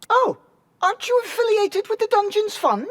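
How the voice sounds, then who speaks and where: A put-on character voice, squeaky and extremely high-pitched. The pace is moderate. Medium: video game. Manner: polite, earnest.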